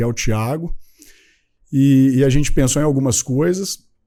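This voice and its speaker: This man has a medium-pitched voice with a dark, mellow tone and ordinary pitch variation. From Minas Gerais, Brazil. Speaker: company founder, entrepreneur. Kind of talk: podcast interview. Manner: casual, with fillers.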